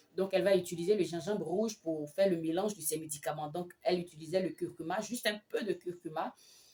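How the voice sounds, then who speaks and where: A woman's fairly low, dark, mellow voice at a fairly quick pace with fairly even intonation. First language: an African language (not French) (speaking French). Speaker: midwife and health vlogger. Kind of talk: vlog advice talk with personal story. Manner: hesitant, many fillers.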